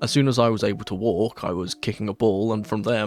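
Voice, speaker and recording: With a London accent, a man speaks at a fairly quick pace and a fairly low pitch. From London, southwest. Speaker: football fan YouTuber. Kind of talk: Q&A vlog monologue.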